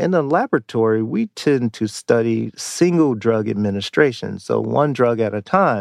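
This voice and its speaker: An ordinary speaking voice from a man with an American accent, medium pitch, moderate pace and hardly any pauses, dry, close sound with no echo, over a quiet background. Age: 50s. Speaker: psychology professor. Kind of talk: interview.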